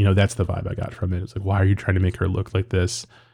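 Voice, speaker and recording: A dark, mellow, somewhat breathy male voice, fairly low in pitch. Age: 30s. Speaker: film critic podcast host. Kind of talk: casual solo podcast monologue. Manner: hesitant, many fillers and repetitions.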